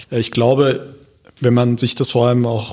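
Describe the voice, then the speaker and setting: A man is speaking. His pitch is medium. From Germany, Hesse (Wiesbaden). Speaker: local politician. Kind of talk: podcast interview. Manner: hesitant, many filler sounds.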